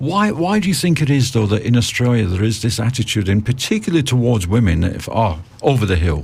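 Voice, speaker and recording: A man speaks with very wide pitch swings, very even loudness, hardly any pauses, and a somewhat breathy sound. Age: 50s. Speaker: radio host. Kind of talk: radio interview. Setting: radio studio.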